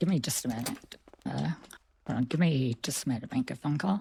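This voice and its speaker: A raspy, put-on character voice sits at a low-to-middle pitch. It races along at a very fast pace. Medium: game stream. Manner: polite, hesitant.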